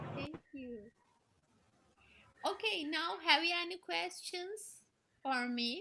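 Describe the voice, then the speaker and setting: Speaking very slowly with long, frequent pauses, a woman with a Turkish accent uses an extremely high, bright, sharp voice, lively intonation and big swings in loudness. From Turkey. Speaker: storyteller. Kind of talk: casual Q&A in online meeting. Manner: normally loud. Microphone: sounds too quiet, technical problem.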